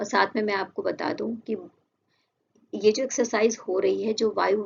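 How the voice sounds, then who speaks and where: Vocal fry runs through a woman's medium-pitched voice. She speaks at a fairly slow pace. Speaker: current affairs teacher. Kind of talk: lecture; casual chat.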